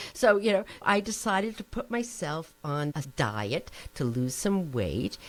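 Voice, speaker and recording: A woman with a New Jersey accent talks at a fairly slow pace with very wide pitch swings while music plays in the background. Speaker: nutrition professor. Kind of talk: interview. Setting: podcast.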